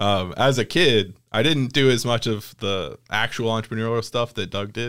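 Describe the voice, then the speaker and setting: Using a plain, everyday voice with an American accent, a man talks at a moderate pace with ordinary pitch variation in a very clean recording with a silent background. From US South, Mississippi. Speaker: coffee shop owner and podcast host. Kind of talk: casual chat.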